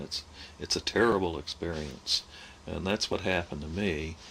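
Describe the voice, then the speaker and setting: The speaker is a man with a fairly slow pace. His pitch shows ordinary variation. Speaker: oral history narrator. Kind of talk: oral history recollection. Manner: halting, frequent filler hesitations.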